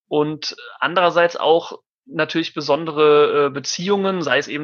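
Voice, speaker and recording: A man's bright, sharp, monotone voice with flat intonation against a quiet background. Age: 30s. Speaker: mediator. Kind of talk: interview.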